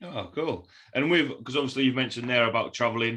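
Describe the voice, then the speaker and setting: A man speaks with a Yorkshire accent at a medium pitch. His pace is fairly quick and his pitch varies in an ordinary way. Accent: broad Yorkshire. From Yorkshire, northern England. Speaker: podcast host. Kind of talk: interview podcast.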